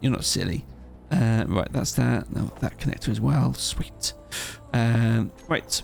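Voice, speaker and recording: Over music in the background, a man mumbles. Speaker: gaming YouTuber. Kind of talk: gameplay commentary. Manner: mumbling; relaxed, halting.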